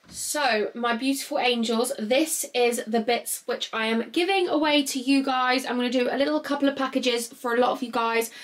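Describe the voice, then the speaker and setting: At a moderate pace with hardly any pauses, a woman speaks in a high pitch with ordinary pitch variation against noticeable background noise. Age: 20s. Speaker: YouTuber. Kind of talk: vlog. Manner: animated.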